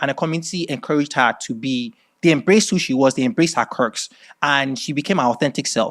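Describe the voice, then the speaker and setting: On a very clean recording with a silent background, a man with an American accent talks at a very fast pace, his fairly high pitch showing ordinary variation. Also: dry, close sound with no echo. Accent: Nigerian accent, code-switches to American. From Nigeria. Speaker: creative director and fashion designer. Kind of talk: masterclass talk. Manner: hesitant, many fillers.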